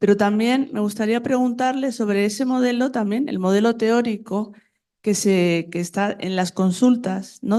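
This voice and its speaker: Over a quiet background, a woman talks in a dark, mellow tone. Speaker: audience member asking question. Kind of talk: conference Q&A question. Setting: conference hall with audience.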